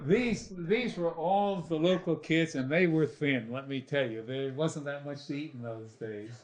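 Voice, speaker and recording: In an unremarkable speaking voice with an American accent, a man speaks at a fairly high pitch and a fairly slow pace, with hardly any pauses. His intonation is lively, and his loudness swings widely. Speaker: oral history interviewee. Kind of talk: oral history interview. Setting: stage with audience.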